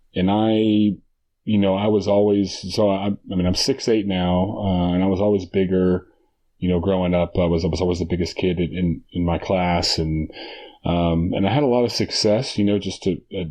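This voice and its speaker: A man talks at a moderate pace in a very deep, low pitch. His intonation is fairly even and his loudness very even. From Texas. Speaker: basketball coach and former college player. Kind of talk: podcast interview. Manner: halting, many repeated words and fillers.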